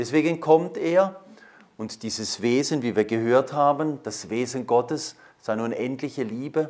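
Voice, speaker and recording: This man talks at a fairly slow pace. His pitch varies in an ordinary way. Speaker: priest giving a talk. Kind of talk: lecture. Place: hall.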